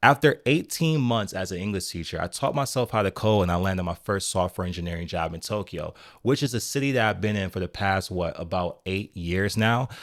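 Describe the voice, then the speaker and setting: This is a normal speaking voice with ordinary pitch variation, moving at a fairly quick pace with hardly any pauses on a very clean recording with a silent background. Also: man, fairly low pitch for a man. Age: 30s. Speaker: software engineer and vlogger. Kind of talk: vlog monologue. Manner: conversational.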